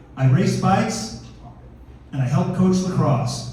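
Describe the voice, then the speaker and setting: Through audible room echo and noticeable background noise, a man talks at a fairly slow pace. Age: 60s. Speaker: comedian. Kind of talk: stand-up. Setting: stage with audience. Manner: animated.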